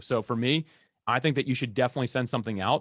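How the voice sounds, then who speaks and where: The recording is very clean, with a silent background and a dry, close sound with no echo, as a man speaks at medium pitch and a very fast pace. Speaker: podcast host and guest expert. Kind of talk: Q&A interview. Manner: loud.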